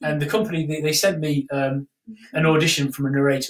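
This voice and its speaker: With an English accent, the speaker talks very fast using fairly even intonation. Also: man. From England. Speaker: travel memoir author. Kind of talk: casual chat. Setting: live stream.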